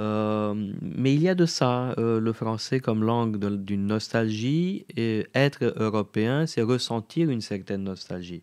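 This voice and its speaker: With a Romanian accent and ordinary pitch variation, the voice comes through on a very clean recording with a silent background. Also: man. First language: Romanian (speaking French). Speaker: radio host. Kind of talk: interview. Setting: studio. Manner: halting.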